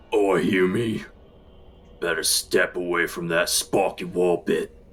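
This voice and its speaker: Raspy and guttural, a man's put-on character voice rumbles at a very deep, low pitch. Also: fairly slow pace. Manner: threatening.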